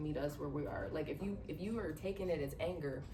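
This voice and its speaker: The speaker is soft-spoken and talks at a fairly quick pace. Noticeable background noise and an audible room echo fill the recording. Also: woman. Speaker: podcast panelist. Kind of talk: casual panel discussion.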